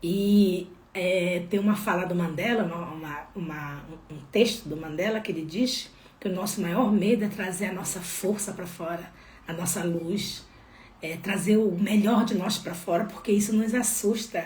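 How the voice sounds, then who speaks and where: Speaking in a Pará accent at a fairly slow pace, a woman sounds animated, her medium-pitched voice showing ordinary pitch variation and big swings in loudness amid audible room echo and noticeable background noise. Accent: northern Brazilian (Pará). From Brazil, Belém do Pará. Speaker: holistic therapist. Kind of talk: spiritual live talk.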